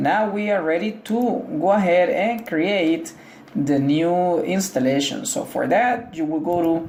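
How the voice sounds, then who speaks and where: Noticeable background noise fills the recording. The speech moves at a fairly slow pace. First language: Spanish. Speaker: tech tutorial creator. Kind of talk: tutorial. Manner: casual, hesitant with fillers.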